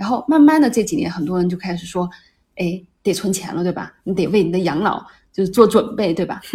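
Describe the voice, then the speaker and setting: A woman speaks at a medium pitch and a fairly quick pace. Her tone is dark and mellow, somewhat breathy, with lively intonation. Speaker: podcast host. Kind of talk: casual chat.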